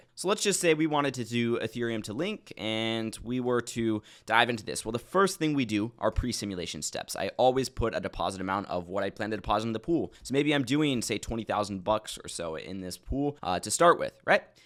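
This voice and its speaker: Hardly any pauses break up a man's speech at a fairly quick pace and medium pitch. His intonation is lively, on a very clean recording with a silent background. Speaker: crypto investing educator. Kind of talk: screen-share tutorial. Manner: fast; casual.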